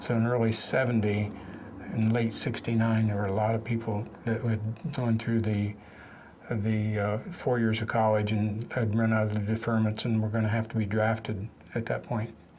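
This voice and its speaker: With an American accent, a man speaks at a medium pitch and a moderate pace. His intonation is monotone and flat, and his loudness stays very even. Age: 60s. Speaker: war veteran. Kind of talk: testimony. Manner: halting.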